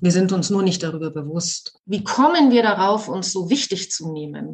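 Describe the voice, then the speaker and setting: A woman's medium-pitched, somewhat breathy voice with lively intonation. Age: 50s. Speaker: podcast host, actress and yoga teacher. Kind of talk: casual chat. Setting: video call.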